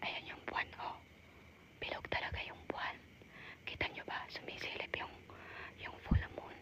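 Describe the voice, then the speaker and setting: A whispering woman at a moderate pace, with long, frequent pauses and noticeable background noise. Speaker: cemetery explorer vlogger. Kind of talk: live vlog narration. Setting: outdoors in cemetery at night.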